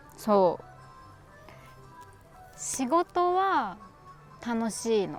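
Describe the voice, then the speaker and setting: A woman speaks at a very slow pace. Music plays in the background. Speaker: actor. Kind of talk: scripted dialogue for language learners. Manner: slow, clear.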